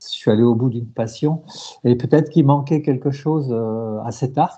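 Fairly even intonation from a man at a medium pitch, talking at a moderate speed. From central France. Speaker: race organizer and sports journalist. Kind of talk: interview. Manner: halting, with frequent repetitions.

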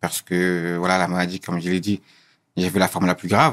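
A man talks at a very deep, low pitch in a very clean recording with a silent background. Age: 20s. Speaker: guest sharing personal story. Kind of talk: interview testimony. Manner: halting, many repetitions and hesitations.

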